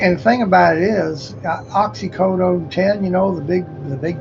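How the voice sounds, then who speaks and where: High-pitched man's voice with music in the background. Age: 60s. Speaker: livestreamer. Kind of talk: casual monologue. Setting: livestream. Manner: animated.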